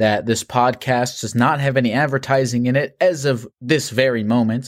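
Moderate pace and medium pitch from a man in a normal speaking voice. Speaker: call-in show host. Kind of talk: casual chat with callers.

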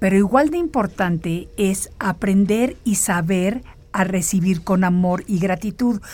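Somewhat breathy and dark, a woman's mellow voice moves at a fairly slow pace. Her intonation is lively. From Mexico. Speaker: radio host. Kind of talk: motivational monologue.

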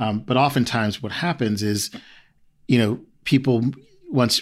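Recorded very cleanly against a silent background, a man talks in a normal speaking voice at a medium pitch, a moderate pace and with fairly even intonation. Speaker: HR diversity executive. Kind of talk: interview.

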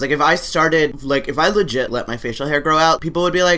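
A woman speaks at a fairly quick pace. Her voice is low-pitched with a fairly bright tone. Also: ordinary pitch variation.

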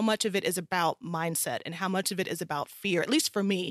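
A woman with an American accent speaks at a moderate pace in a dry, close sound with no echo. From US South, South Carolina. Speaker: entrepreneur and coach for working mothers. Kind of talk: interview conversation.

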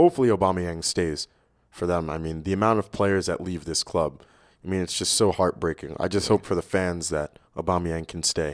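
On a very clean recording with a silent background and a dry, close sound with no echo, a man with an American accent talks at a fairly quick pace in a very deep, low voice with fairly even intonation. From New York City. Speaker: soccer coach. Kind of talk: casual chat.

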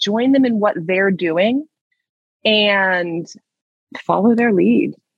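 Speaking fairly slowly, a woman with an unremarkable speaking voice uses lively intonation. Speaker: speech therapist.

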